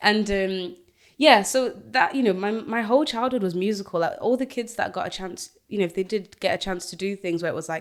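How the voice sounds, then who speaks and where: This woman talks at a fairly quick pace, her medium-pitched voice showing ordinary pitch variation. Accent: Yorkshire. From northern England (Doncaster, Yorkshire), born in Zimbabwe. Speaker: singer and radio host. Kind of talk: casual interview chat.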